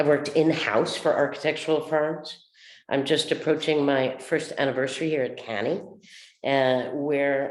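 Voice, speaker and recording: Very deep and low in pitch, a woman speaks at a moderate pace with fairly even intonation amid audible room echo. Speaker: architectural conservator. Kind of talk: panel webinar.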